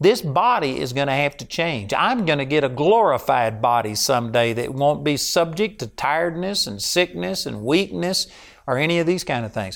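A man with a Texan accent, fairly high-pitched with very wide pitch swings, at a moderate pace with hardly any pauses, in a very clean recording with a silent background. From Texas. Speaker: preacher. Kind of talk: sermon.

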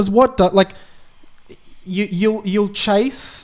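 With an Australian accent, a man speaks at a very slow pace. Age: 20s. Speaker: radio presenter. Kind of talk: casual chat; mock apology statement.

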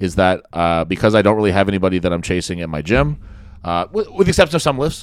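A man with a Canadian accent talks very fast at a fairly low pitch, his intonation lively. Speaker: podcast host, strongman. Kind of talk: casual chat. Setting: studio.

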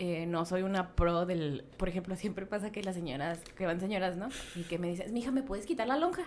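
A woman talks at a fairly quick pace with medium pitch and ordinary pitch variation over noticeable background noise. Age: 20s. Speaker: photographer. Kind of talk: casual chat.

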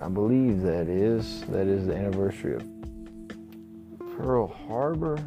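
A man with a Texan accent speaks at a fairly slow pace, his pitch fairly low. His intonation is lively, and music plays in the background. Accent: Southern, Texan. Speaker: podcast host and musician. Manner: speaks slowly, drags his words.

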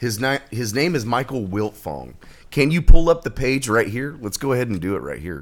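With vocal fry and very wide pitch swings, a man speaks at a medium pitch and a moderate pace. The recording is very clean, with a silent background. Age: 30s. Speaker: podcast guest. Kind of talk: casual chat.

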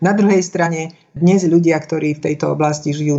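The clip features a woman with an unremarkable speaking voice and a fairly low pitch. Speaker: speech coach and former radio announcer. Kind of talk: interview. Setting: phone call.

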